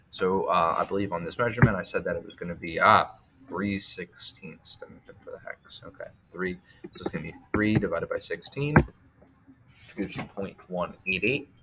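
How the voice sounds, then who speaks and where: Over noticeable background noise, a man talks with hardly any pauses and big swings in loudness. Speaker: teacher. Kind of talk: tutorial. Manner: fast.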